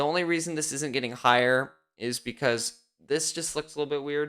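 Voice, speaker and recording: Moderate pace on a very clean recording with a silent background. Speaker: Lego YouTuber. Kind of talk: live stream build and review. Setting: live stream. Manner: loud; animated.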